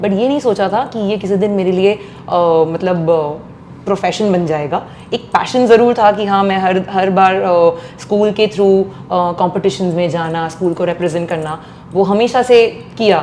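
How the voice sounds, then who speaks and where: Against noticeable background noise, a woman at medium pitch speaks at a fairly slow pace. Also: ordinary pitch variation. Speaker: playback singer. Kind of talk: interview.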